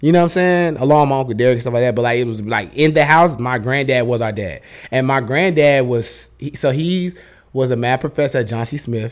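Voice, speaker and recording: At a fairly quick pace, a man speaks at medium pitch. The pitch varies in an ordinary way. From Charlotte, North Carolina, US South. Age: 30s. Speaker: clothing brand owner. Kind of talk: casual interview chat.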